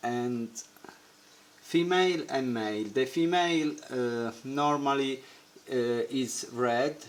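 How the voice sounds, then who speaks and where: Here a man speaks at a very slow pace and medium pitch, with ordinary pitch variation and long, frequent pauses. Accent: non-native. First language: not English. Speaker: aquarium hobbyist. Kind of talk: tutorial. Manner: halting.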